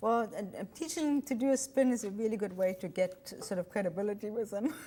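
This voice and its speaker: With a German accent, a woman speaks at a fairly quick pace in a fairly high, somewhat breathy voice with a dark, mellow tone and lively intonation. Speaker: retired airline pilot and author. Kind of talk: TV interview.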